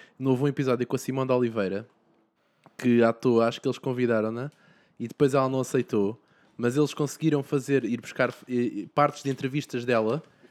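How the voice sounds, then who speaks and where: Speaking at a fairly quick pace and a medium pitch, a man leaves long, frequent pauses. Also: fairly even intonation. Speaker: podcast host. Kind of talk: casual chat.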